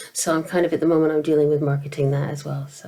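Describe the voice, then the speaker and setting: With an American accent, a woman speaks in a very deep, low voice. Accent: mid-Atlantic, between American and British. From American, grew up in Asia. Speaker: novelist. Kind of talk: interview. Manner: hesitant, many fillers and repetitions.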